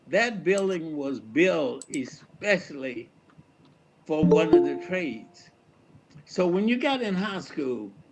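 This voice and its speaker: Music plays behind a man with an American accent and a fairly high pitch. He speaks at a very slow pace with lively intonation. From Fairfield, Alabama. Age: 80s+. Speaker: retired reverend and educator. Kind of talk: community talk on personal history.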